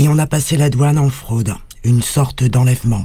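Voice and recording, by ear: A man talks at a moderate pace and medium pitch, with ordinary pitch variation and a slightly mellow tone.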